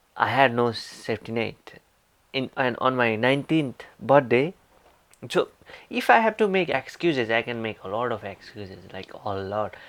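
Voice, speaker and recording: A man with a medium pitch speaks at a moderate pace, with ordinary pitch variation and big swings in loudness. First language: not English; English is third language. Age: young, 19. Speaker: motivational vlogger. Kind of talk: motivational talk. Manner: halting, self-repeating.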